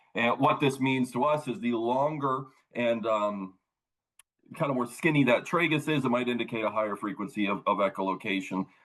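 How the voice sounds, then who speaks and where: A man speaks at a fairly quick pace, his medium pitch moving with ordinary variation. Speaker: wildlife technician. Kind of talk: lecture. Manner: fast.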